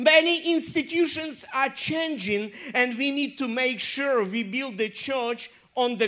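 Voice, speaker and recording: Against noticeable background noise, a woman speaks at a high pitch and a fairly slow pace. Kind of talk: sermon. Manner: animated, call-and-response, urging the congregation to say amen and clap.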